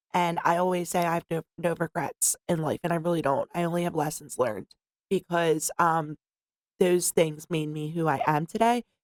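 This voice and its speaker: A woman speaks with a Philadelphia accent at a fairly low pitch and a moderate pace. Her pitch varies in an ordinary way, and the sound is dry and close, with no echo. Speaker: peer specialist in behavioral health department. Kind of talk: interview.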